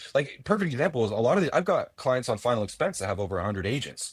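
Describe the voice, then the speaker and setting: Over a very clean, silent background, a man talks at a very fast pace in an animated tone. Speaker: pay per call affiliate marketer, brokerage owner. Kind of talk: casual podcast interview. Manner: loud; animated, fast.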